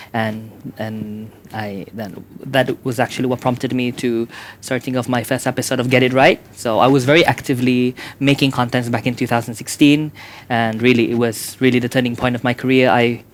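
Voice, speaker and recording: A man speaks at a fairly quick pace with a Sabahan accent. His medium pitch stays monotone and flat. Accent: Malaysian (Sabahan) English. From Sabah, Malaysia. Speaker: YouTuber. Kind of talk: casual interview chat.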